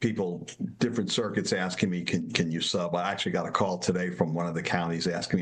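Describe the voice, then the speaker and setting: A man's very deep, low voice with a New York accent at a very fast pace, noticeable background noise and audible room echo. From New York, Brooklyn and Long Island. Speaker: judge and law professor. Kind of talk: interview. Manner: halting, repeats words.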